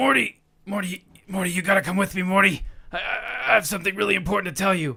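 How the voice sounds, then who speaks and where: In a put-on character voice, a man talks at a very fast pace with a raspy, high pitch. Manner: frantic, stuttering, urgent.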